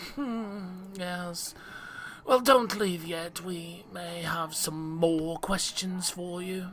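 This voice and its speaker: Over clear background noise, a put-on character voice at a middle pitch speaks at a very slow pace. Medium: read story. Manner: brisk, officious.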